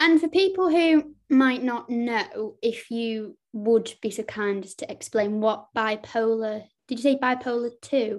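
A woman with a Lancashire accent speaks at a fairly slow pace with hardly any pauses, her fairly high pitch carrying lively intonation and big swings in loudness. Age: 20s. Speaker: podcast host. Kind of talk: casual interview.

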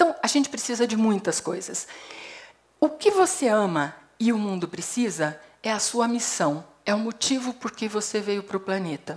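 Very wide pitch swings at a moderate pace. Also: woman, fairly high pitch for a woman. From Brazil, Paraná. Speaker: psychologist and HR consultant. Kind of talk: TEDx talk. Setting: stage with audience.

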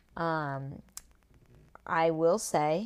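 Recorded very cleanly against a silent background, a woman speaks in a raspy, very deep, low voice with ordinary pitch variation. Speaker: podcaster. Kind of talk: casual solo podcast monologue. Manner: chatty, enthusiastic.

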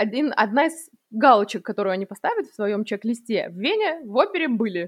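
A woman with a fairly high pitch and lively intonation speaks at a moderate pace, the sound dry and close with no echo over a quiet background. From Russia. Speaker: podcast co-host. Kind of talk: casual chat.

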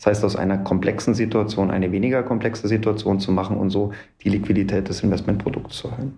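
A man talks very fast in a fairly low, flat monotone over noticeable background noise. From Munich, Bavaria. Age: 30s. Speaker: real estate developer. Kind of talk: interview. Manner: frequent filler sounds (ähm).

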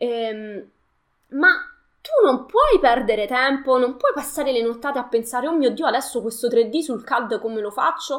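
High-pitched female speech with normal rises and falls in pitch. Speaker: live streamer. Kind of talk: live stream talk to viewers. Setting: online live stream. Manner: fast, multitasking, informal.

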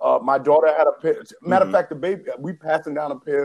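A fairly high-pitched man with an American accent at a very fast pace. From New York City. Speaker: podcast co-host. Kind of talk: casual chat.

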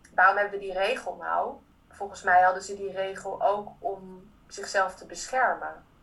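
A woman at a medium pitch and moderate pace, monotone, flat intonation, big swings in loudness, and noticeable background noise. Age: 30s. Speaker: theatre maker and actress. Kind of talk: interview.

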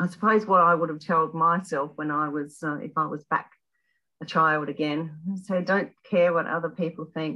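Speaking with an Australian accent, a woman uses a fairly low pitch, fairly even intonation, and a moderate pace. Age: 60s. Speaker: retired health worker. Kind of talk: casual interview. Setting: podcast interview.

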